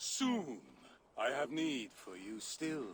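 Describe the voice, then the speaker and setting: A man's put-on character voice at medium pitch, with lively intonation. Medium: video game. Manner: cold, commanding.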